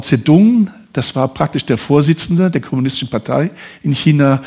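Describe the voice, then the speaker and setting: Here a man with a normal speaking voice talks at a moderate pace with ordinary pitch variation. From northern Italy, raised in southern Hesse. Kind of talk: testimony. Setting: church service.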